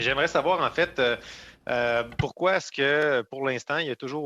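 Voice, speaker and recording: At a moderate pace, the voice has a bright, sharp tone. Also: man. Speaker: member of parliament. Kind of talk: parliamentary committee questioning. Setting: parliamentary committee.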